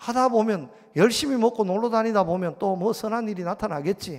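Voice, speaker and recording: A man with a strong Gyeongsang accent, high pitch, ordinary pitch variation and a moderate pace. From Gyeongsang region, South Korea. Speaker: pastor. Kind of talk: sermon. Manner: animated.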